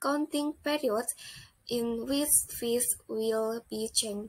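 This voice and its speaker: A fairly slow woman's voice, high in pitch and with ordinary pitch variation. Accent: Indonesian. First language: Indonesian. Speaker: accounting student. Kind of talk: student project presentation.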